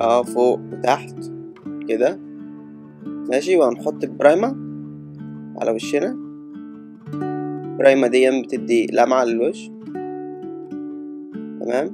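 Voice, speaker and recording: Over music in the background, a man with an Egyptian accent speaks very slowly with long, frequent pauses, his medium pitch swinging very widely. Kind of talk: comedic makeup tutorial voiceover. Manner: hesitant, improvised.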